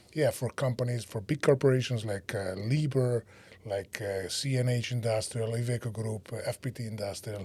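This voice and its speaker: The tone is dark and mellow, somewhat breathy, at a moderate pace. The recording is very clean with a silent background. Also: man, medium pitch for a man, fairly even intonation. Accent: Italian. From Italy. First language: Italian. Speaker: startup co-founder and CEO. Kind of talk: podcast interview.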